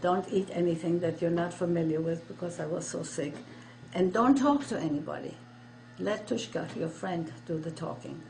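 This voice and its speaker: With noticeable background noise and audible room echo, a woman speaks at a moderate pace in a fairly low pitch. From Germany and Poland. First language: German. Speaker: Holocaust survivor. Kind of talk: testimony. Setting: interview.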